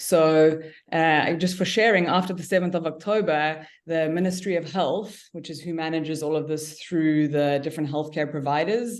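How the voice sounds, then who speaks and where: With a South African accent, the speaker goes at a moderate pace with hardly any pauses and fairly even intonation. Room echo is audible. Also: woman, very deep, low pitch for a woman. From South Africa, Cape Town. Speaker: cannabis business owner. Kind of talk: podcast interview. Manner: halting.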